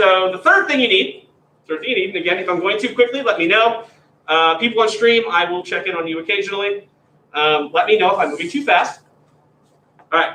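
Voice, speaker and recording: A fairly quick pace with an American accent, broken by long, frequent pauses. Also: man, high pitch for a man, ordinary pitch variation. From Pennsylvania. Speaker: graduate teaching assistant. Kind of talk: lecture. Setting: classroom, also streamed. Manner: informal, conversational.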